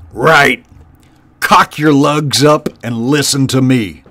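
Growling in a put-on character voice, a man talks at a very slow pace with a fairly high pitch. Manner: snarling, harsh, commanding.

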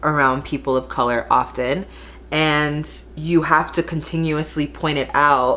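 A woman speaks at a fairly slow pace in a very deep, low pitch. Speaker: beauty vlogger. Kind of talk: casual vlog chat. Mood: frustrated, emphatic. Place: home room. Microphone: phone near.

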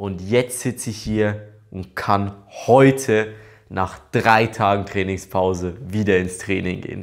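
The background is quiet. A man is talking at a very slow pace. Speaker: athlete vlogger. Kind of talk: casual vlog chat. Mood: happy, relieved, excited. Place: home room.

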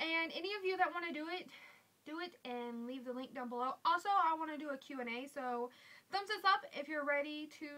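With an American accent, a woman projects a raised, high-pitched voice with a bright, sharp tone, lively intonation and a moderate pace. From US South. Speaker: beauty vlogger; vlogger. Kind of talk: casual vlog. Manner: casual, with fillers. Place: home room. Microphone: webcam.

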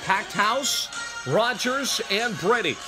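A man's raised, projected voice over clear background music. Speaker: amateur mimicking a sports announcer. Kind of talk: sports broadcast announcer read. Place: home room. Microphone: phone near.

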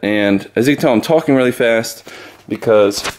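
This is a man's voice. His pitch varies in an ordinary way. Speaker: fitness vlogger. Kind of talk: casual vlog chat. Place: kitchen. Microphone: phone near.

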